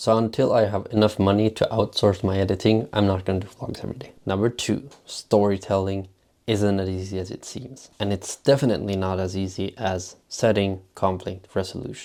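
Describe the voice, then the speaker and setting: Speaking at a moderate pace in a Swedish accent, a man with fairly low pitch keeps a monotone, flat delivery on a very clean recording with a silent background. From Sweden. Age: 20s. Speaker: vlogger. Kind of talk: vlog monologue.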